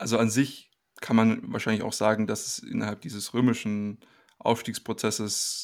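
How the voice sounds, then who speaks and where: This very clean recording with a silent background captures a man speaking at a medium pitch. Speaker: podcast co-host. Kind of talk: casual discussion.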